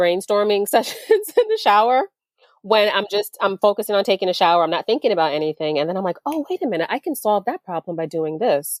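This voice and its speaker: A woman talks with lively intonation in a dry, close sound with no echo. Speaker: attorney and business owner, meditation guide. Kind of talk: interview conversation.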